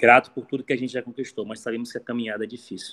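A man speaks in a monotone with flat intonation. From Brazil, Maranhão (raised in Imperatriz). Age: 30s. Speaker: football coach. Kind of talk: interview. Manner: halting, repeats words.

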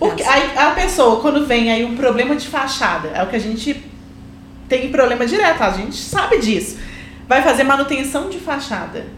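A woman speaks at a fairly quick pace in a high voice with lively intonation, with audible room echo and noticeable background noise. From Belo Horizonte, Minas Gerais, Brazil. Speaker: civil engineer, podcast co-host. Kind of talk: casual chat.

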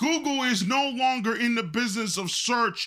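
A man speaks in an extremely high pitch with a bright, sharp tone. His voice is raised and projected at a fairly slow pace. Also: very clean recording, silent background. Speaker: podcast host. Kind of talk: angry rant, scolding monologue; podcast monologue with news commentary. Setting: studio podcast. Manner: loud, fiery, confrontational, lecturing the audience.

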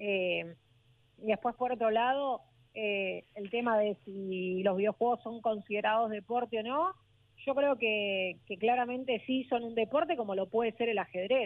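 Speaking at a fairly slow pace, a woman with an unremarkable speaking voice uses a fairly high pitch and ordinary pitch variation. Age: 20s. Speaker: esports streamer and commentator. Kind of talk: interview.

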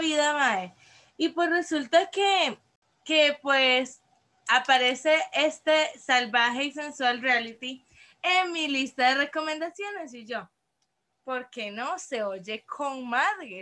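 A woman projects a raised voice at a high pitch, her tone bright and sharp. She talks very slowly with lively intonation and big swings in loudness. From Costa Rica, San José (Desamparados). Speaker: podcast co-host. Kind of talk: casual chat. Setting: remote recording.

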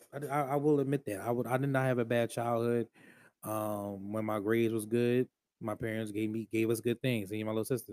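A man speaks at a fairly quick pace in an animated tone, recorded with a dry, close sound and no echo. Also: medium pitch for a man. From Philadelphia area, Delaware County, Pennsylvania. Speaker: podcast host. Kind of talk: casual monologue.

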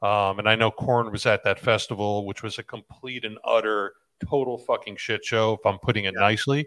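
On a very clean recording with a silent background, a man talks at a fairly quick pace in a plain, everyday voice. His pitch is fairly low and his intonation fairly even. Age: 40s. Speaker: podcast host. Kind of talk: interview.

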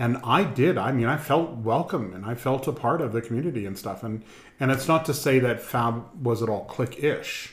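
At a moderate pace, a man with a medium pitch speaks in a somewhat breathy voice. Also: ordinary pitch variation. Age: 60s. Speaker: community group board member. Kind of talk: casual chat, interview.

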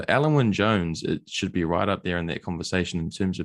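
A fairly quick pace in a New Zealand accent. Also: man. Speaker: podcast host. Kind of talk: casual interview chat.

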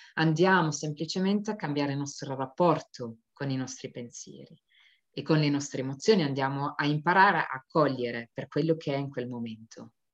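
A woman talks at a moderate pace in a very deep, low pitch, with ordinary pitch variation. Her loudness swings widely. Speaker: stress and burnout coach. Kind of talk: talk to an online audience. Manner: soft, gentle.

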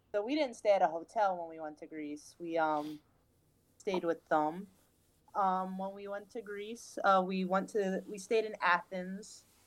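Speaking at a fairly slow pace with a New York accent, a woman shows big swings in loudness and ordinary pitch variation. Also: medium pitch for a woman. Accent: New York City. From New York City. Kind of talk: casual chat.

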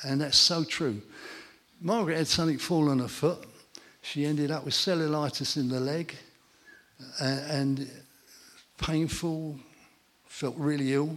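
Fairly slow speech from a man with an English accent, fairly high in pitch, with fairly even intonation and long, frequent pauses. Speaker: church testimony speaker. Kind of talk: testimony. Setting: church gathering with audience.

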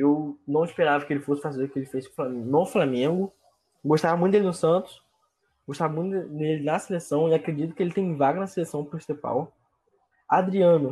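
Talking at a fairly quick pace, a man with a fairly high pitch and a dark, mellow tone uses ordinary pitch variation. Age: 20s. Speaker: sports podcast co-host. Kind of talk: casual sports chat.

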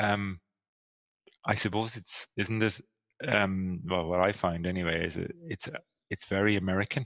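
A man with a very deep, low voice and ordinary pitch variation speaks with long, frequent pauses. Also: moderate pace. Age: 40s. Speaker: podcast co-host and coach. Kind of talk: casual chat.

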